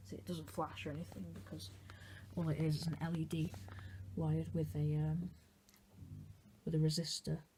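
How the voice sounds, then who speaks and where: The speaker is soft-spoken, moving at a moderate pace with long, frequent pauses. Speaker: hobbyist video maker. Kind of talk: casual tutorial demonstration. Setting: bedroom at night. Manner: quiet, talking softly late at night; hesitant, with fillers.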